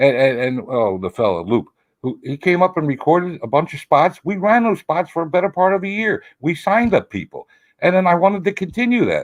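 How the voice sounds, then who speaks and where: A man speaks with an American accent, a high pitch and lively intonation. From US Northeast, Philadelphia. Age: 70s. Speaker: cigar retailer. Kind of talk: interview chat. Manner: halting, repeats words.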